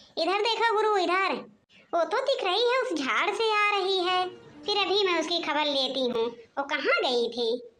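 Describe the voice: A cartoonish character voice, female-sounding and extremely high in pitch, moves at a moderate pace.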